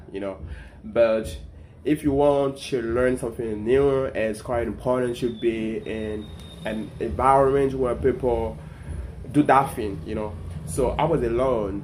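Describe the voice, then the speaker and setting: With a French accent, a man speaks at a medium pitch and a fairly slow pace, his intonation lively, amid audible room echo. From Ivory Coast (Abidjan). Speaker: content creator. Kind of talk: casual storytelling vlog. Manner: halting, many repetitions and fillers.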